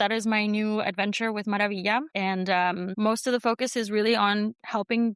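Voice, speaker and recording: A woman's medium-pitched, an ordinary speaking voice at a moderate pace, dry and close with no echo, over a quiet background. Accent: American. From US Northeast, New York City (Queens), Colombian family. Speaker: brand strategist. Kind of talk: interview.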